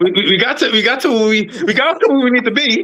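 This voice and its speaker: In a raised, projected voice of extremely high pitch, a man with an American accent sounds bright, sharp and animated, with ordinary pitch variation. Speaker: podcast host, former corrections officer. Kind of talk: casual chat. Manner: fast; animated, halting with repetitions.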